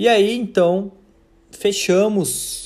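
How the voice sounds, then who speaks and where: A man speaks with a Brazilian accent. Room echo can be heard. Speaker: university lecturer. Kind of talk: recorded lecture.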